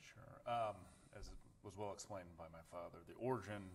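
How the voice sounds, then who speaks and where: Fairly low in pitch, a man with a Midwestern American accent speaks with fairly even intonation. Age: 40s. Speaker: attorney. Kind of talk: podcast interview. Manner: halting, frequent restarts.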